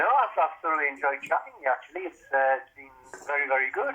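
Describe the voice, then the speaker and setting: This is a man speaking. He has a Geordie accent. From Newcastle, northern England. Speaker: author and former police officer. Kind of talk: casual chat.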